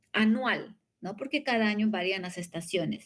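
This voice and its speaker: This woman's voice is fairly high. Its pitch moves with ordinary variation. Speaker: university lecturer. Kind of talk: lecture. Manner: fast.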